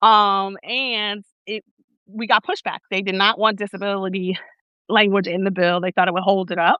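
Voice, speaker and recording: Flat, monotone speech from a woman with a Newark accent, medium in pitch, at a moderate pace. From Newark, New Jersey. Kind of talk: interview conversation. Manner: halting, many fillers.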